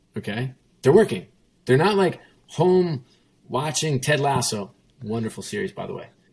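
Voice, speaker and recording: A somewhat breathy man talks at a fairly high pitch and a moderate pace, with very wide pitch swings. His loudness swings widely, and he takes long, frequent pauses. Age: 50s. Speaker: sports executive. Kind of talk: interview. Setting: video call from home kitchen.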